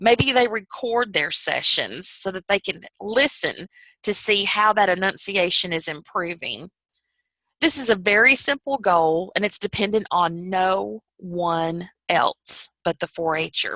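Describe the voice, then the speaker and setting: In a Southern US accent, a woman speaks fairly slowly at a medium pitch with ordinary pitch variation and a bright, sharp tone, the sound dry and close with no echo. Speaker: youth program trainer. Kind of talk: training presentation. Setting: video call. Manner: careful clear enunciation.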